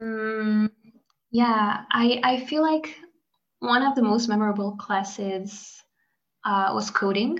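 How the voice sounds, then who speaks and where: At a very slow pace with long, frequent pauses, a woman with a fairly high pitch sounds somewhat breathy and shows ordinary pitch variation. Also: very even loudness. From Hungary. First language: Hungarian. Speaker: graduate student. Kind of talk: casual interview.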